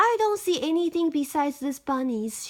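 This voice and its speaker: A woman puts on a squeaky character voice, high-pitched with very wide pitch swings. She keeps a moderate pace. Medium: read story.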